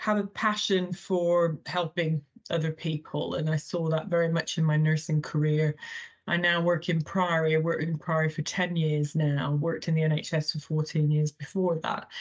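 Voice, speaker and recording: With an American accent, a woman speaks at a very deep, low pitch. Her intonation is monotone and flat, and her loudness stays very even. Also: moderate pace. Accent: funny accent from an American boarding school. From Thailand. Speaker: healthcare chief executive, former nurse. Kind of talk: podcast interview.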